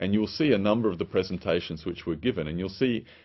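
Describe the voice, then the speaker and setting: A man with an Australian accent uses a rather deep voice whose pitch moves up and down a normal amount. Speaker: public health official. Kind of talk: recorded video presentation. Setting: pre-recorded remote message. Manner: hesitant, many fillers.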